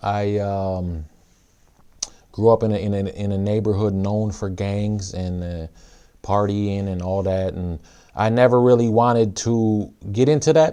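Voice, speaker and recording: A man with an Upper Midwest accent talks at a fairly slow pace, leaving long, frequent pauses. His voice is fairly low in pitch, with a dark, mellow tone. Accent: Upper Midwest American. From Minnesota, US (Saint Paul). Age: 30s. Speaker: rapper and youth pastor. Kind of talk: personal testimony talk. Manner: hesitant, many fillers.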